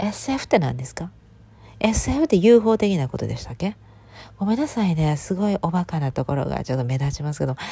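Somewhat breathy and dark, mellow in tone, a woman's fairly low voice moves at a fairly quick pace with very wide pitch swings. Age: 30s. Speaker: podcaster. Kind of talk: casual monologue. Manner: languid, drowsy delivery.

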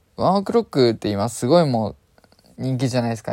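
The man speaks with a dark, mellow tone. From Japan, Chiba. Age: 20s. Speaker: podcaster. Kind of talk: casual monologue. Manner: fast.

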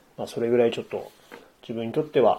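A man speaks at a medium pitch. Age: 40s. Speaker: podcaster. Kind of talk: solo monologue. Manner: halting.

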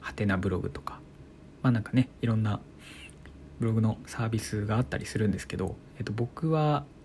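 A man talks at a fairly quick pace in a fairly low voice, leaving long, frequent pauses. His tone is calm and his intonation lively. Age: 20s. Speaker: blogger and podcaster. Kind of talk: solo talk radio monologue.

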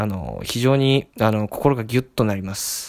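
Recorded with a dry, close sound and no echo, a man speaks at a medium pitch and a moderate pace with ordinary pitch variation. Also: very clean recording, silent background. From Tokyo. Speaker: podcast host. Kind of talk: solo monologue. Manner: many fillers, hesitant.

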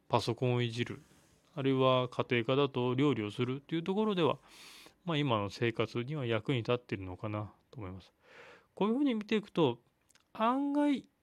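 At a fairly quick pace with long, frequent pauses, a man speaks at medium pitch with very wide pitch swings and big swings in loudness. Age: 30s. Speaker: physical therapist, solo podcaster. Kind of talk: solo monologue. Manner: hesitant, many fillers.

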